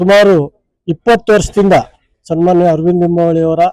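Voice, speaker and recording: Intonation stays monotone and flat throughout. The tone underneath is dark and mellow. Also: man. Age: 50s. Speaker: local politician. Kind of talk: press interview.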